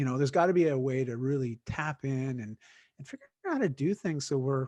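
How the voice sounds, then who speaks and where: The voice has a dark, mellow tone and ordinary pitch variation, moving at a fairly quick pace with a dry, close sound with no echo. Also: man, fairly high pitch for a man. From Canada. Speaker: fitness coach and keynote speaker. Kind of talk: podcast interview.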